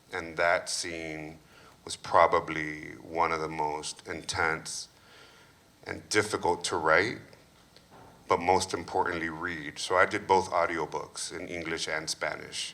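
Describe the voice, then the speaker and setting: Bright and sharp in tone yet very deep and low in pitch, a man speaks at a fairly slow pace with monotone, flat intonation and big swings in loudness. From Mexican-American (Chicano), US. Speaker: author. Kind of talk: panel discussion.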